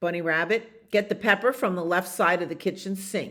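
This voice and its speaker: This put-on character voice is gruff and growling, at a middle pitch and a fairly quick pace. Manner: growling, bossy.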